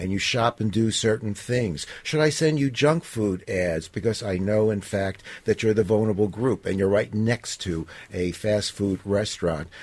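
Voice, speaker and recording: At a moderate pace, a man with a plain, everyday voice talks at a fairly low pitch with ordinary pitch variation. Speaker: digital privacy advocate. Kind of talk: radio interview.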